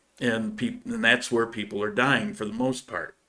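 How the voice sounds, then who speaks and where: A man with a US Northeastern accent, medium pitch and lively intonation. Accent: US Northeast. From upstate New York. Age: 60s. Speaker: YouTube channel host. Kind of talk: live stream Q&A. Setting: live stream. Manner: halting, many fillers.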